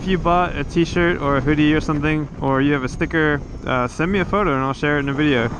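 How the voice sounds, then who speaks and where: Over noticeable background noise, the talk in an American accent rushes at a very fast pace. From United States. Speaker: motovlogger. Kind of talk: casual vlog monologue.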